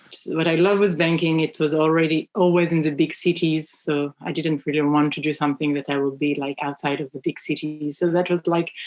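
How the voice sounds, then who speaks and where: With a French accent, a woman talks at a fairly quick pace with hardly any pauses, her very deep, low pitch held in a monotone, flat intonation. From France. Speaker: children's book publisher. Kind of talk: podcast interview. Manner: halting, many fillers.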